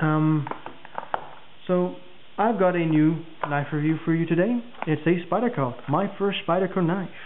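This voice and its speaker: Loudness stays very even, with ordinary pitch variation. Long, frequent pauses come through over noticeable background noise. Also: man, high pitch for a man. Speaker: knife reviewer. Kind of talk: product review video. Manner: fast; casual with many fillers.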